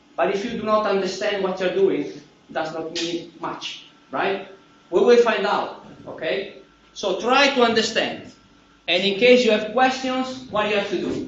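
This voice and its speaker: Loud and high-pitched, a man talks in an Italian accent with ordinary pitch variation. The recording has audible room echo and noticeable background noise. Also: moderate pace. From Italy. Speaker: university professor. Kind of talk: lecture. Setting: classroom.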